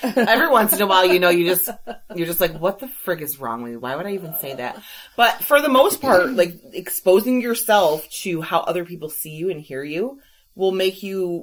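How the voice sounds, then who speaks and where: A woman speaks at a fairly quick pace with a medium pitch, very wide pitch swings, and big swings in loudness. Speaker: podcast co-host. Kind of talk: casual chat. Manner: fast when excited; runs words together.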